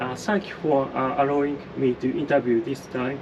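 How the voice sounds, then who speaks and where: With a Japanese accent, a man speaks at a moderate pace and a fairly high pitch against noticeable background noise. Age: 40s. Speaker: interviewer, channel owner. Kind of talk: interview. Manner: halting.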